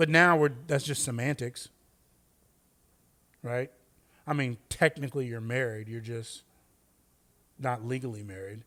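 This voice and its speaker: In a very clean recording with a silent background, a man with an Oakland accent speaks at a fairly slow pace and medium pitch, with ordinary pitch variation, long, frequent pauses and big swings in loudness. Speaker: podcast co-host. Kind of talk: casual chat.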